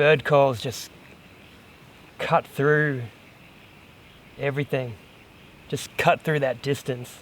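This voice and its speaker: A man speaks very slowly at a fairly high pitch, with fairly even intonation. His pauses are long and frequent. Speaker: hiking vlogger. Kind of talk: outdoor vlog narration. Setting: outdoors. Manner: distracted.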